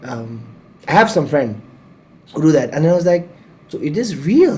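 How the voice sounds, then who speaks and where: With lively intonation, a man speaks at a fairly slow pace amid audible room echo. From Nepal. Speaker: podcast host. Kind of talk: casual chat. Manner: loud; energetic.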